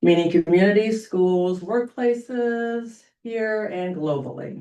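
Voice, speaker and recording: A woman's voice comes through loud. Her tone is dark and mellow. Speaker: public commenter at board meeting. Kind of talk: prepared public comment.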